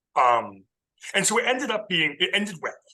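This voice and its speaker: Loud and quick, a man with a Californian accent talks at a fairly quick pace in a bright, sharp tone. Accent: Californian American English. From US West Coast, coastal Southern California. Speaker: ecologist. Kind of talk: casual interview.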